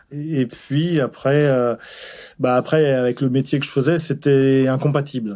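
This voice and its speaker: A man talks in a dark, mellow tone, keeping a fairly slow pace. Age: 60s. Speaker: retired cook. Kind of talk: testimony. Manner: halting, many hesitations.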